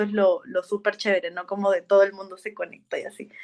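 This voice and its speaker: A woman with an unremarkable speaking voice talks at a moderate pace in a medium pitch. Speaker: podcast host. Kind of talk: casual interview chat.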